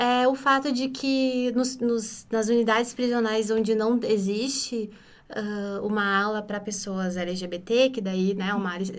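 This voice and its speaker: At a fairly slow pace and fairly high pitch, a woman with a plain, everyday voice keeps her intonation fairly even. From interior of Rio Grande do Sul, Brazil. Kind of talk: podcast interview.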